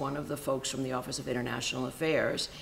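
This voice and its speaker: A woman with an American accent, heard over noticeable background noise. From Cuba (Havana) until age six, then raised in the US. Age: 50s. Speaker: sociology professor. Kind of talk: interview. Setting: sit-down interview. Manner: many fillers (um, uh).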